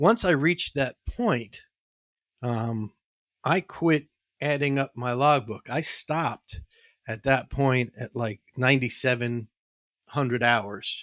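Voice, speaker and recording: With an American accent, a man talks at a very slow pace in a medium pitch, with long, frequent pauses and ordinary pitch variation, in a dry, close, echo-free recording that is very clean with a silent background. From New York, the Bronx. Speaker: former airline pilot and auto industry consultant. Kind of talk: casual interview.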